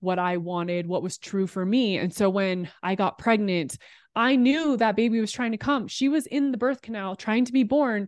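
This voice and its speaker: Over a quiet background, a woman speaks in a normal speaking voice. Her pace is moderate and her pitch varies in an ordinary way. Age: 30s. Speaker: podcast producer and former sports TV host. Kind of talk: casual interview.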